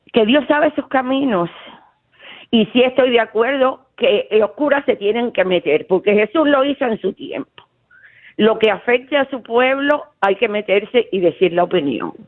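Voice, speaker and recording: With a Cuban accent, the speaker moves at a fairly slow pace using lively intonation. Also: woman, high pitch for a woman. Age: 70s. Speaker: caller, retired teacher. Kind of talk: call-in radio chat. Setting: phone call. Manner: talkative.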